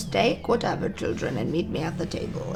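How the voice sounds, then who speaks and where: A put-on character voice at a middle pitch moves at a fairly quick pace against loud background noise. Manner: commanding, motherly.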